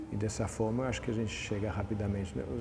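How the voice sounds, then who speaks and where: In a room with audible echo, a man with a non-native accent speaks at a fairly low pitch in a flat, monotone delivery. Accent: foreign accent in Portuguese. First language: not Portuguese (speaking Portuguese). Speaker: environmental aviator. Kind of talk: TV interview. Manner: halting, many repetitions and fillers.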